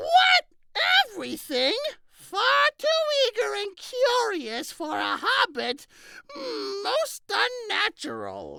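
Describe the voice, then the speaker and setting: In a put-on character voice pitched extremely high, a man speaks at a very slow pace with long, frequent pauses. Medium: solo performance. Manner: genial, wry.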